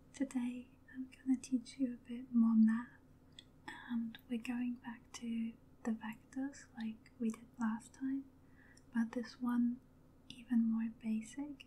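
The voice is soft-spoken and moves at a very slow pace. Long pauses come often. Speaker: ASMR math teacher. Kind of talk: ASMR math lesson, soft-spoken teaching. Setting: studio microphone recording. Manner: soft-spoken, slow-paced. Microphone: studio mic.

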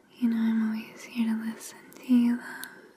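Soft-spoken and monotone, with flat intonation, a woman talks over light background noise. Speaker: ASMR creator. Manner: soft, affectionate hushed voice. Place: home room.

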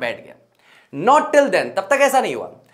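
Against a quiet background, the speaker keeps a moderate pace with very wide pitch swings. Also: man. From Rajasthan, Ajmer district; Rajasthan. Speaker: English teacher. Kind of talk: lecture. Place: classroom.

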